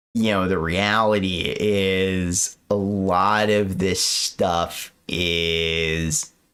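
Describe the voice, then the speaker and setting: Here is a man with a very deep, low pitch. His intonation stays fairly even. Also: very clean recording, silent background. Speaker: finance streamer reacting to videos. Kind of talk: live stream commentary. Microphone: poor audio quality with echo.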